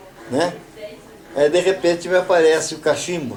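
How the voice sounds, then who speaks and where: Music is playing in the background. A man speaks at a moderate pace. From Avaré, São Paulo, Brazil. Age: 80s+. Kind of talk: interview answer. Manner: casual storytelling.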